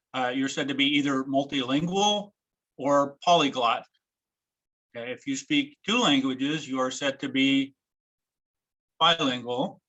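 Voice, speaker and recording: The voice has a bright, sharp tone and an American accent. It shows ordinary pitch variation and long, frequent pauses. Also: man, fairly high pitch for a man. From United States. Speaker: former German instructor. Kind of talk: presentation. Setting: video call. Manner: halting.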